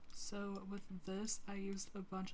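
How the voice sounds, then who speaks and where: Flat, monotone intonation from a woman at medium pitch, with audible room echo and noticeable background noise. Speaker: sims builder youtuber. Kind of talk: tutorial.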